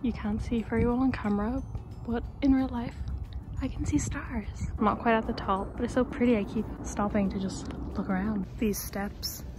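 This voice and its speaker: Music in the background and audible room echo around a woman talking at a moderate pace. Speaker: travel vlogger. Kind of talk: casual vlog talk to camera. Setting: outdoors walking up a hill. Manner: quiet, hushed.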